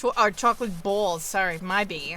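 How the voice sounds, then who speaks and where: Speaking with an American accent, a woman talks at a fairly slow pace, her fairly high pitch showing ordinary variation. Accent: noticeable accent, comes out at times. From New York. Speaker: video game streamer. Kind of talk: casual chat. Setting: live stream.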